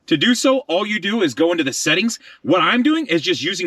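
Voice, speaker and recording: At a very fast pace, a man talks in a bright, sharp tone with very wide pitch swings, the sound dry and close with no echo. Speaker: car tech reviewer. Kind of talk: product review and tutorial.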